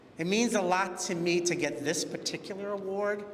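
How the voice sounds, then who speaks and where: Speaking at a fairly slow pace, a man is heard over noticeable background noise with audible room echo. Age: 60s. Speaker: LGBTQ community organization founder. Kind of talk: award acceptance speech.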